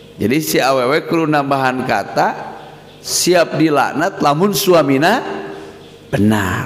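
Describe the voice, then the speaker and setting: Lively intonation at a very slow pace and very even loudness, amid noticeable background noise. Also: man, fairly high pitch for a man. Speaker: Islamic boarding school leader and cleric. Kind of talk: religious scripture lecture.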